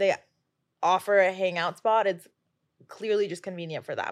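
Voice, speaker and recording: A bright, sharp tone with an American accent. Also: woman. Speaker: guest. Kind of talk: casual chat.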